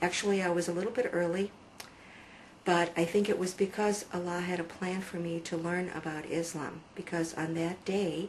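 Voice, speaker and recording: A woman with a fairly low pitch speaks at a moderate pace in a flat monotone, with noticeable background noise behind her. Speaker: religious convert telling her story. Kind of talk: testimony. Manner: halting, with many fillers.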